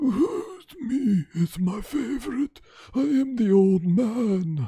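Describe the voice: The voice is a put-on character voice with a fairly high pitch. It moves at a very slow pace.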